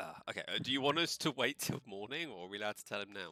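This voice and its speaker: Delivered at a very fast pace with a British accent, the voice has lively intonation and a bright, sharp tone. The sound is dry and close, with no echo. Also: man, medium pitch for a man. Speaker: tabletop role-playing game player.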